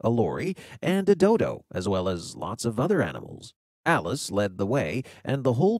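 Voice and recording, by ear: Over a quiet background, the speaker is reading aloud in a natural voice.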